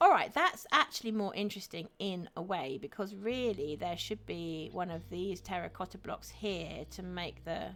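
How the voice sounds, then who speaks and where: At a moderate pace, a woman with an English accent speaks at a medium pitch with ordinary pitch variation. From England. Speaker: streamer. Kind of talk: live stream chat while gaming. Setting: live stream. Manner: chatty, friendly.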